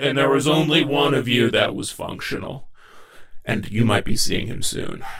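A man puts on a character voice, pitched at a medium level. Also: moderate pace. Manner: menacing, taunting.

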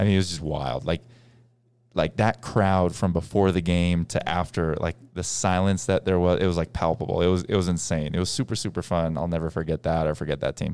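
Very deep and low in pitch, a man with an American accent talks at a fairly quick pace with ordinary pitch variation. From US Northeast (Boston). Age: 20s. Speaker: former pro basketball player and podcast host. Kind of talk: casual chat.

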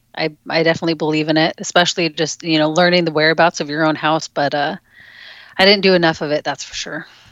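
A woman speaks at a very fast pace in a very deep, low pitch with monotone, flat intonation. The sound is dry and close with no echo, over a quiet background. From Alaska. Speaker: gun safe company representative. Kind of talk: casual interview.

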